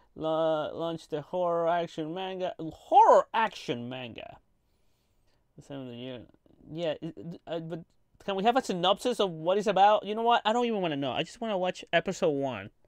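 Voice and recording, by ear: A man speaks with a clear, smooth tone and fairly high pitch. His intonation is lively, at a moderate pace.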